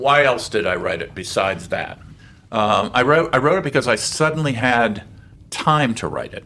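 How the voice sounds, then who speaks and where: A man with an American accent, medium pitch, lively intonation, vocal fry, a bright, sharp tone and a moderate pace. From Saudi Arabia (American expatriate camp). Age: 70s. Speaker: author and keynote speaker. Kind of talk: interview. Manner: halting.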